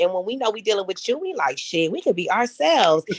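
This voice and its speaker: In a Southern US accent, a woman speaks at a fairly quick pace and a medium pitch. Her tone is animated, with lively intonation. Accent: Southern-sounding. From Los Angeles, South Central. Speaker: podcast guest. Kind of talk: casual chat.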